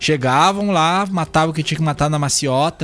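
A man speaks at a moderate pace in a plain, everyday voice. His pitch sits fairly high. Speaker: radio host. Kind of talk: casual chat.

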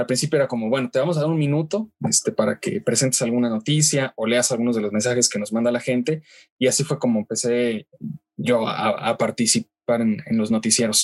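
A man talks at a moderate pace and medium pitch with ordinary pitch variation. It is a plain, everyday voice with a dry, close sound with no echo. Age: 20s. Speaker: radio news anchor and reporter. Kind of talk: interview.

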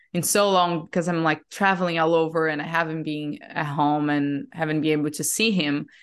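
A woman speaks with a very deep, low pitch against a quiet background. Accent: Portuguese. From Brazil. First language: Portuguese. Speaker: breathwork facilitator. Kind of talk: casual interview.

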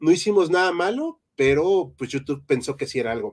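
Recorded very cleanly against a silent background, a man with a high pitch speaks at a moderate pace with lively intonation. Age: 30s. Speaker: history podcast host. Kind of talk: live-stream chat.

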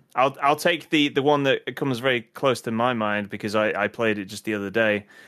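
With a British accent and a bright, sharp tone, a man speaks with ordinary pitch variation in a very clean recording with a silent background. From UK. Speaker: podcast host. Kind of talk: casual chat.

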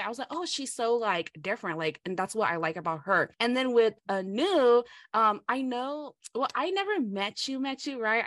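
A woman with a Southeast Asian accent speaks at a moderate pace with lively intonation against a quiet background. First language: Hmong. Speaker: podcast co-host. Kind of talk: casual chat.

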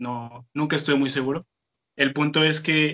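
At a moderate pace, a man speaks in a bright, sharp tone with a fairly high pitch and monotone, flat intonation. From Tijuana, Mexico. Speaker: amateur musician. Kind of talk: casual chat. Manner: hesitant, many fillers.

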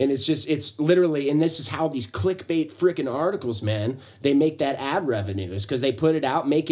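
Here is a man with an unremarkable speaking voice and a fairly high pitch. He talks at a fairly quick pace with lively intonation. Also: hardly any pauses. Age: 30s. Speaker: podcast co-host. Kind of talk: casual chat.

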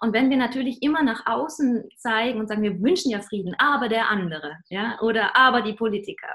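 With lively intonation and a fairly high pitch, a woman talks in an unremarkable speaking voice. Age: 30s. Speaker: singer and spiritual songwriter. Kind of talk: interview.

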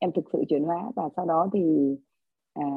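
The woman talks at a fairly slow pace. Her very deep, low voice has ordinary pitch variation. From Vietnam, lives in Australia. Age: 40s. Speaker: course participant. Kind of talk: testimony. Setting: video call.

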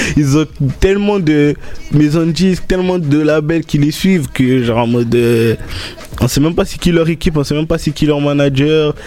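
Against noticeable background noise, a man with a fairly high pitch talks at a moderate pace with ordinary pitch variation. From Marseille, France. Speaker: DJ and beatmaker. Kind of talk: radio interview.

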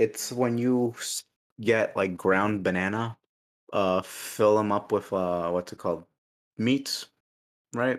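Very slow delivery with long, frequent pauses on a very clean recording against a silent background. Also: man, fairly low pitch for a man. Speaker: podcast host. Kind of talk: casual chat. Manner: joking, profane, animated.

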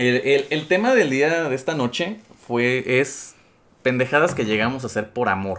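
He is a man with a Mexican accent. His pitch varies in an ordinary way. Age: 20s. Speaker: podcast host, accountant. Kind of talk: casual chat.

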